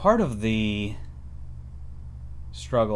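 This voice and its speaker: A very slow pace with very wide pitch swings and audible room echo. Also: man. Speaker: writer livestreaming about creative process. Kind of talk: casual solo livestream talk. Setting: live stream with webcam at home. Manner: halting, with many fillers.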